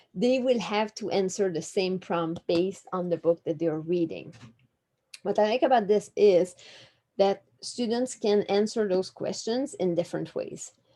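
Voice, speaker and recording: In a French accent, a woman with a dark, mellow tone and medium pitch talks at a fairly slow pace. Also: ordinary pitch variation. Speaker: literacy specialist presenting to teachers. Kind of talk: webinar presentation. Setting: online webinar.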